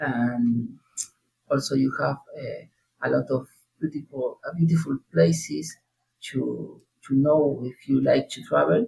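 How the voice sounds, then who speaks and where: Speaking in a Spanish accent, a man goes at a fairly slow pace with long, frequent pauses. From southern Argentina, Neuquén province. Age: 30s. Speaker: language learner. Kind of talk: interview. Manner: halting, many hesitations.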